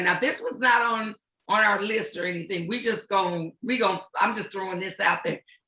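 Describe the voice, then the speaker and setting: Speaking with a plain, everyday voice, a woman keeps a moderate pace and a pitch in the middle range. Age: 60s. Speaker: talk show host and organization president. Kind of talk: panel discussion.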